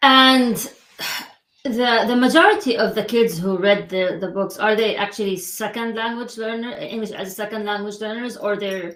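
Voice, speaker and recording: A woman with a non-native accent talks at a moderate pace with a fairly high pitch. Her intonation is fairly even, but her loudness swings widely. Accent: foreign. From Middle East. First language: non-English. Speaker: podcast host. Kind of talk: interview. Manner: hesitant, many fillers.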